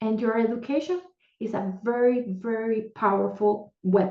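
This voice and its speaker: A woman speaks with a Puerto Rican accent at a fairly high pitch. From Puerto Rico. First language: Spanish. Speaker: panelist. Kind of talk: panel discussion. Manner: animated.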